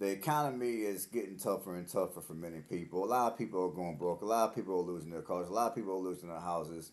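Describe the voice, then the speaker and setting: A man's very deep, low voice at a very fast pace, with ordinary pitch variation and hardly any pauses. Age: 40s. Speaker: vlogger. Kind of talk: casual monologue to camera. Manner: halting, with fillers and repeats. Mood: earnest, reflective. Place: home room.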